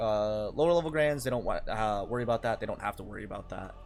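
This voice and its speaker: Music sounds in the background. Over it, a man speaks very fast. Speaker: gaming youtuber. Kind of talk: casual commentary on patch notes. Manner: loud; animated.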